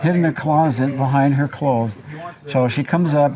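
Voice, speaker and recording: Monotone, flat intonation amid noticeable background noise. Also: man. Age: 70s. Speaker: elderly brother telling childhood stories. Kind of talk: storytelling in a group interview.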